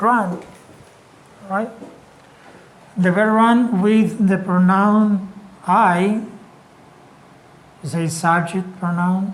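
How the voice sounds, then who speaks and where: Delivered at a very slow pace, this voice carries a Spanish accent. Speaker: English teacher. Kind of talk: lecture.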